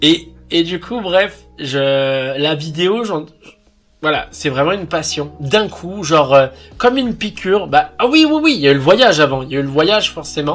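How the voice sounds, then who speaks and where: Speaking with a Lyon accent, a man uses lively intonation and a fairly high pitch at a moderate pace. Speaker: YouTuber. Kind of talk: casual vlog monologue. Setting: alone on camera. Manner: halting, many fillers.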